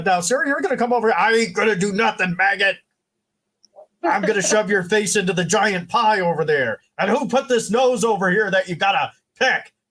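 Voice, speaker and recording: In a put-on character voice, a man speaks at a high pitch. His pace is moderate. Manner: aggressive, threatening.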